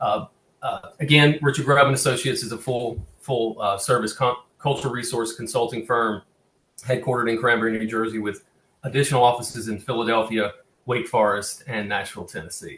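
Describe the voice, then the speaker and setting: Speaking fairly quickly in a Southern US accent, a man keeps a medium pitch and fairly even intonation. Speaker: cultural resource consultant presenting on cemetery preservation. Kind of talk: webinar presentation. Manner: halting, many fillers and restarts.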